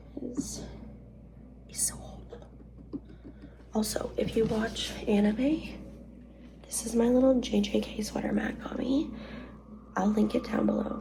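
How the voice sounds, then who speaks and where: The pace is fairly slow, with long, frequent pauses. Audible room echo and noticeable background noise are present. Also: woman. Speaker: vlogger and nurse. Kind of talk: casual vlog talk. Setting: hotel room.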